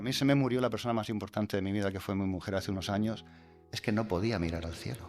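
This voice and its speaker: A man at a very fast pace with a Murcian accent, music in the background. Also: fairly low pitch for a man, ordinary pitch variation. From Murcia, Spain. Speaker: astrophotographer. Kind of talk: interview answer. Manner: warm, down-to-earth.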